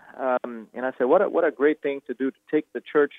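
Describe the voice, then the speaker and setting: The speaker is a man with a Brazilian accent. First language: Portuguese. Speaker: pastor and author. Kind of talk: interview.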